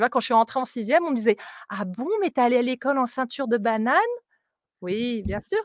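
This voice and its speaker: A woman talks at a fairly quick pace with a high pitch and lively intonation, her dry, close sound carrying no echo in a very clean recording with a silent background. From France (Mont-de-Marsan area), partly raised in Africa. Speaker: English and maths teacher. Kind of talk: live interview. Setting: outdoors, live video stream. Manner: talkative.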